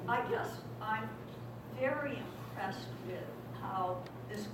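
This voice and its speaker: Through loud background noise and audible room echo, a woman speaks at a very slow pace. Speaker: guest. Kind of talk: talk to audience. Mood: warm, appreciative. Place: hall. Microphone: camera far.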